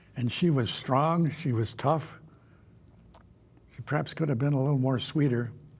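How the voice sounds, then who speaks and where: With an Upper Midwest accent, a man speaks at a moderate pace in a fairly high, somewhat breathy voice with ordinary pitch variation and long, frequent pauses. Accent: Upper Midwest American. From Minnesota. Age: 90s. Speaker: retired political leader. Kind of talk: interview.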